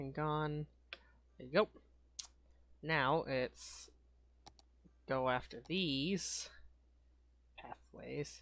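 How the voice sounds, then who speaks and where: Soft-spoken and very slow, a woman talks with big swings in loudness and long, frequent pauses. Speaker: gaming video creator. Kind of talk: gameplay commentary.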